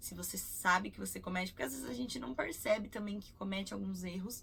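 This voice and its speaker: A woman's voice with vocal fry. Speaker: English teacher. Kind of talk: tutorial.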